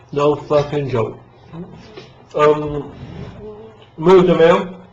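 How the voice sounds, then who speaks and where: Through noticeable background noise, a man with a fairly high pitch speaks at a very slow pace. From South London, England. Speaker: English teacher vlogger. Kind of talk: casual monologue vlog. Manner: casual, rambling with fillers.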